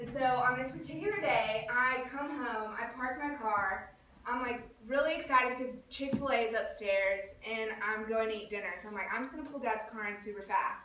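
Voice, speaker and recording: A woman speaks in an animated tone with a high pitch at a moderate pace. Audible room echo surrounds her voice. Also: ordinary pitch variation. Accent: Southern US. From US South, Birmingham, Alabama. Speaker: youth club leader. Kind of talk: personal talk to a group. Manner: animated storytelling.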